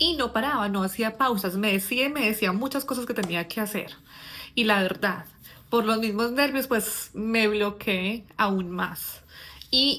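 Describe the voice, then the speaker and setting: Her tone is bright and sharp. This woman speaks at a fairly slow pace. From Colombia. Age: 40s. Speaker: English teacher. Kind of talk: personal storytelling. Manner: casual, with filler words.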